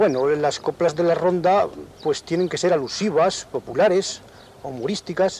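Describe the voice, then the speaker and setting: A man talks at a moderate pace in a high voice with ordinary pitch variation. The sound is dry with no echo, and light background noise is present. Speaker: interviewee. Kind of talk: interview answer. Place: open country. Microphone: old recording.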